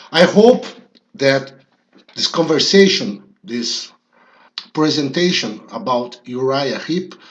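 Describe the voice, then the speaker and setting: Delivered at a very slow pace with a non-native accent, the speech has very wide pitch swings and long, frequent pauses. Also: man, fairly high pitch for a man. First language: Portuguese. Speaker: rock music youtuber. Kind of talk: monologue commentary video. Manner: halting with frequent fillers.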